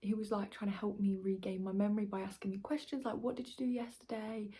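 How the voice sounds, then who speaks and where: A soft-spoken woman with an English accent, somewhat breathy, her fairly high pitch and dark, mellow tone carried at a very fast pace with fairly even intonation. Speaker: vlogger. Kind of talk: personal testimony vlog. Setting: at home late at night. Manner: quiet, speaking softly late at night.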